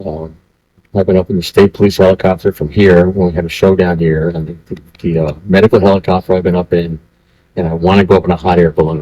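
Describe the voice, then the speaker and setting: The voice races at a very fast pace in a dark, mellow tone with monotone, flat intonation and a dry, close sound with no echo. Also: man, very deep, low pitch for a man. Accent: American. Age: 70s. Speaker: volunteer firefighter. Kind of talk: oral history interview. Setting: library historical center.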